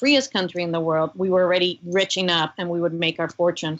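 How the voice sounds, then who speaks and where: A woman's medium-pitched voice with a Cuban American accent. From US, Cuban-German family. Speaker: former government commissioner, religious freedom advocate. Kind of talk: podcast interview.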